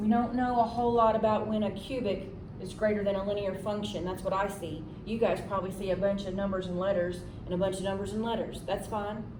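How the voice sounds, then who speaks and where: Over noticeable background noise and audible room echo, a woman talks at a very fast pace with a medium pitch in a monotone, flat intonation. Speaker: math teacher. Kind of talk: tutorial.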